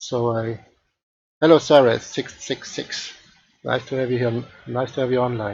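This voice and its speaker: The speaker has a non-native accent and a somewhat breathy voice with monotone, flat intonation. The pace is moderate, with long, frequent pauses. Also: man, medium pitch for a man. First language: not English. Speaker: 3D art tutor streamer. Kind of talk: live-stream tutorial. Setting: live stream. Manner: halting, many fillers. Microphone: headset.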